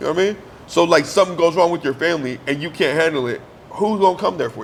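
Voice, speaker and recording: A loud, very fast male voice at a high pitch, with ordinary pitch variation and noticeable background noise. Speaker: podcast co-host. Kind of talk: casual chat.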